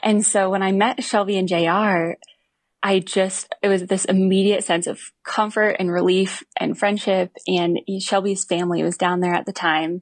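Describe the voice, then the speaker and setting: A woman speaks at medium pitch and a moderate pace in a monotone, flat intonation, her loudness very even and the sound dry and close with no echo. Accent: American. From Montana, US. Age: 20s. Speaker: physical therapist and fitness coach for riders. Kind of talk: interview testimony.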